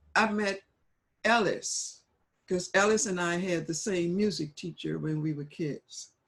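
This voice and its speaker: A woman talks at a fairly low pitch with ordinary pitch variation. Her voice is somewhat breathy, at a fairly slow pace. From New Orleans. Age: 80s+. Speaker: jazz vocalist. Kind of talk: interview answer.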